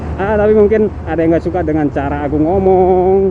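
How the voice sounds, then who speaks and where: With noticeable background noise present, the talking goes at a fairly quick pace. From Madura, Indonesia (Bangkalan). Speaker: motovlogger. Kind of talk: motovlog commentary while riding. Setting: outdoors on a motorcycle. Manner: halting, self-correcting.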